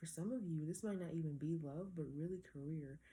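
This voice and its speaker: A woman's very deep, low voice, dark and mellow in tone and somewhat breathy, at a very fast pace. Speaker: tarot reader. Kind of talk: tarot reading. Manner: casual, conversational.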